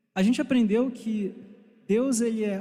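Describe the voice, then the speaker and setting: Speaking at a fairly slow pace, a man uses a high pitch with a dark, mellow tone. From Brazil, Rio de Janeiro. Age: 20s. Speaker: church teacher. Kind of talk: bible class lecture. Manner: warm, conversational.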